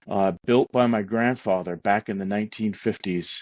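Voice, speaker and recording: A man with a Maine accent at a moderate pace, fairly even intonation. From Maine, rural western foothills. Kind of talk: interview.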